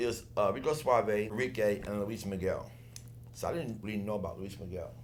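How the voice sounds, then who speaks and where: A fairly quick, animated delivery with audible room echo. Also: man, fairly low pitch for a man, ordinary pitch variation. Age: 60s. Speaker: former dancer. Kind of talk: casual chat.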